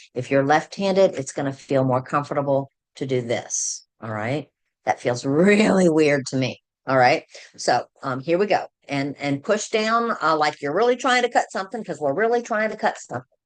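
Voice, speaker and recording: With an American accent, a woman speaks at a moderate pace in a very deep, low pitch that swings very widely, the background quiet. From Virginia. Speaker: scrapbooking consultant. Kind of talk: tutorial.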